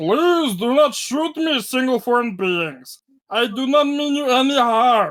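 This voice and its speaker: A man puts on a character voice with an extremely high pitch, talking at a fairly slow pace. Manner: polite, pleading.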